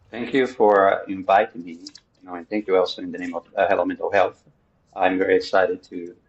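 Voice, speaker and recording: A man with a Portuguese accent speaks at a fairly quick pace. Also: big swings in loudness. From Brazil. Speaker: psychotherapist. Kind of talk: interview. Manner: halting, frequent fillers.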